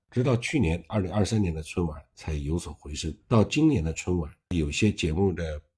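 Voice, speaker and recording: Hardly pausing, a man with a very deep, low pitch and a dark, mellow tone speaks at a moderate pace, somewhat breathy, with ordinary pitch variation. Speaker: online commentator. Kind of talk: monologue commentary. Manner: casual, with self-corrections.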